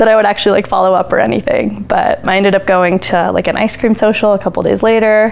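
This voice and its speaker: A woman speaks with an American accent at a medium pitch. Her intonation stays fairly even over noticeable background noise. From Colorado (Parker). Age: under 20 (19). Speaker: college student, campaign volunteer. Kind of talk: interview. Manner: casual, frequent fillers.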